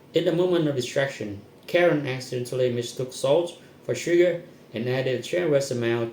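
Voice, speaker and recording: There is audible room echo and noticeable background noise as a man speaks at a fairly quick pace, with a medium pitch and ordinary pitch variation. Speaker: content creator. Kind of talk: reading aloud. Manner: fast.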